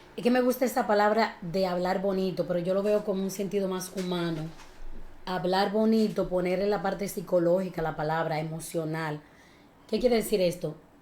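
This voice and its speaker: Animated in tone, a woman of medium pitch talks at a fairly quick pace. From Dominican Republic (Villa Altagracia). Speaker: communication and speech teacher. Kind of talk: interview.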